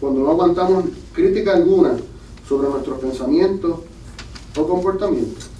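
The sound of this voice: A man with a fairly high pitch and a dark, mellow tone speaks at a moderate pace with ordinary pitch variation. Audible room echo surrounds the voice.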